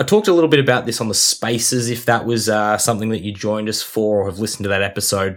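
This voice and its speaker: A man with an Australian accent speaks at a fairly low pitch on a very clean recording with a silent background. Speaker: fantasy sports podcast co-host. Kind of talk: casual chat. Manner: animated.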